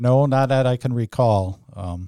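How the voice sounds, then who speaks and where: Recorded dry and close with no echo against a silent background, a man talks at a fairly slow pace in a dark, mellow tone. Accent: American. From Wisconsin, US Midwest. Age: 60s. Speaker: church handyman. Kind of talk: interview.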